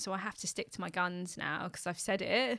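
A woman with a London accent speaks at medium pitch in a bright, sharp tone. Her intonation is fairly even and her pace moderate, on a very clean recording with a silent background. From West London, England. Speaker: customer experience expert and public speaking coach. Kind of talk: casual chat.

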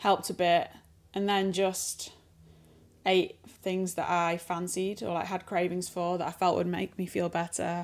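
With a Sheffield accent, a woman speaks in a fairly low, monotone, flat voice at a fairly slow pace, in a very clean recording with a silent background. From northern England, Sheffield. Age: 30s. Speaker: interviewee sharing a pregnancy illness. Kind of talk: casual interview. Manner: slower than usual.

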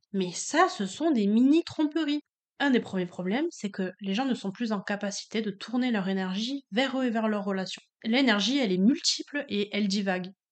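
Her voice is a plain, everyday voice: a woman at a moderate pace, fairly high in pitch, with lively intonation. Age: 20s. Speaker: high school French teacher. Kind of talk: casual chat.

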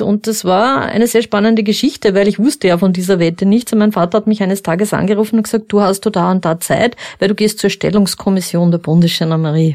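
Using a normal speaking voice, a woman talks at a fairly quick pace. Her pitch is medium, with ordinary variation. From Upper Austria. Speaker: former crime scene investigator. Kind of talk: interview. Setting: studio.

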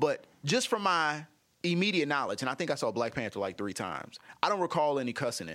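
A man talks at a very fast pace, his bright, sharp voice showing vocal fry and very wide pitch swings. The recording is very clean, with a silent background. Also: fairly high pitch for a man. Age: 50s. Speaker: actor, comedian and radio host. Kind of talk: casual interview. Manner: animated.

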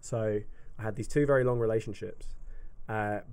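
A man speaks in an English accent. His pace is moderate. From UK. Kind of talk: casual chat.

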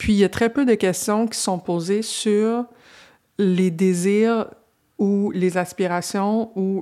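A woman's dark, mellow tone, fairly even in intonation, at a very slow pace. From Quebec. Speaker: podcast host. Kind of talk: interview conversation. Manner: halting, many repetitions.

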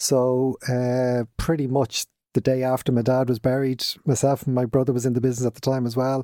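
A man with a Dublin accent, fairly quick and flat in a monotone, his tone dark and mellow, his loudness very even, in a dry, close sound with no echo. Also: medium pitch for a man. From Dublin, Ireland. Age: 50s. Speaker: business owner. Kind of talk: casual interview.

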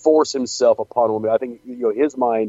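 Speaking at a moderate pace, a man uses a normal speaking voice at a medium pitch. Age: 40s. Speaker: wrestling podcast co-host and indie wrestling worker. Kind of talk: casual chat.

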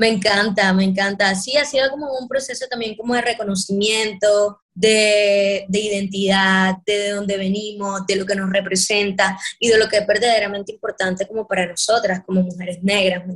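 In an ordinary speaking voice, a woman talks at a moderate pace and medium pitch with fairly even intonation and hardly any pauses. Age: 20s. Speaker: afro hair artist and performer. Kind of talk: interview conversation.

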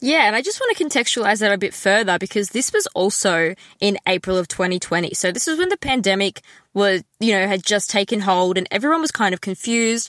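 Speaking in an Australian accent at a fairly quick pace, a woman holds a medium pitch, ordinary pitch variation and very even loudness, recorded with a dry, close sound with no echo. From Melbourne, Australia. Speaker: podcast co-host. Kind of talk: casual chat. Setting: video call.

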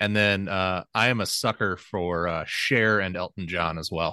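Recorded dry and close with no echo against a quiet background, a man speaks at a moderate pace in a very deep, low voice that has a bright, sharp tone and fairly even intonation. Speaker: sports podcast panelist. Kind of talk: casual chat.

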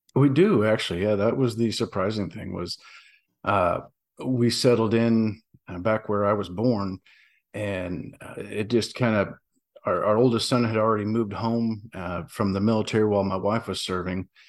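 In a Southern US accent, a man speaks at a fairly low pitch and a moderate pace. His intonation is fairly even, and the recording is very clean with a silent background. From US South. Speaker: veteran and novelist. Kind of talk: casual interview chat.

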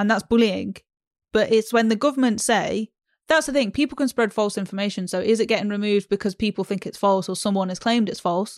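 A woman talks at a very fast pace, her fairly high pitch rising and falling in ordinary ways. The sound is dry and close with no echo, on a very clean recording with a silent background. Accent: British. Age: 20s. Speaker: podcast co-host. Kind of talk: casual chat.

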